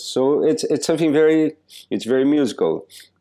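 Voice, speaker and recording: A man with a Portuguese accent against a quiet background. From southern Brazil. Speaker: percussionist. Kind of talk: interview. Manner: halting.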